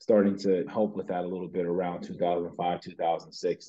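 Against a quiet background, a man talks at a moderate pace in a very deep, low voice with monotone, flat intonation. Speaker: interview guest. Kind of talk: interview answer. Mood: relaxed, reflective. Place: home room. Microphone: video call.

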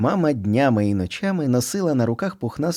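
It's a natural reading voice.

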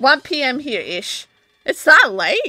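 A woman's raised, projected voice at a fairly slow pace, with very wide pitch swings. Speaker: video game streamer. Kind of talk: casual live-stream chat. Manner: loud; giggly.

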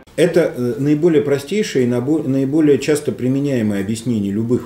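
With audible room echo, a man speaks at a moderate pace in a dark, mellow tone and lively intonation. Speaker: talk show host and moderator; talk show host, moderator. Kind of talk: panel discussion. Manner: halting. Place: meeting room.

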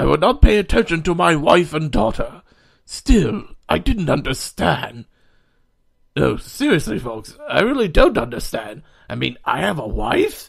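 A man puts on a character voice, fairly high in pitch with vocal fry and a slightly husky edge. He moves at a fairly slow pace with big pitch swings.

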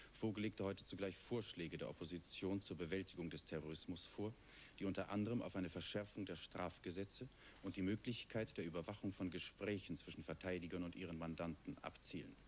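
Over light background noise, a man talks at a fairly quick pace. His pitch is very deep and low. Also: ordinary pitch variation. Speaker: television news anchor. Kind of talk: 1970s TV news broadcast, formal scripted news reading. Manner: formal, measured, sober and neutral; steady, even pacing with clear, crisp enunciation. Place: studio. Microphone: lapel.

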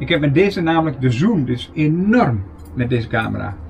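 Light background noise runs under a man's fairly high-pitched voice. His pitch swings very widely. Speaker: camper vlogger. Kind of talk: casual show-and-tell vlog. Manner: casual, hesitant with fillers. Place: home room. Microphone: camera far.

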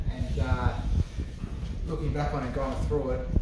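A man talks at a very fast pace amid loud background noise, with audible room echo. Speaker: interviewee. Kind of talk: interview answer. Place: office.

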